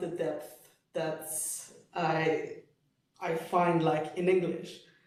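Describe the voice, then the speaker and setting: High-pitched male speech in a monotone, flat intonation at a very slow pace, with audible room echo. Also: long, frequent pauses. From Switzerland (French-speaking). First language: French. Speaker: poet and cultural studies lecturer. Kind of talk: Q&A discussion after lecture.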